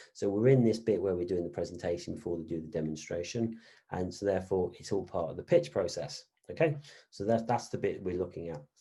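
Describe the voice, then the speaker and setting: Speaking at a very fast pace, a man has a very deep, low pitch, a dark, mellow tone and a somewhat breathy quality, with ordinary pitch variation. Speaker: business lecturer. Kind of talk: online lecture. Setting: online session.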